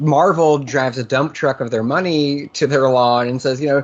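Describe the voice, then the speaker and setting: A man with an American accent has a plain, everyday voice. His pitch is fairly high and his pace fairly quick. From US Northeast, Massachusetts. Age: 30s. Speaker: interviewer. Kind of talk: interview.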